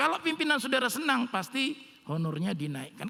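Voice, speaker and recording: A man's raised, projected voice moves at a moderate pace with very wide pitch swings. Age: 60s. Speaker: pastor. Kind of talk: sermon. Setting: church online service. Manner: casual, conversational.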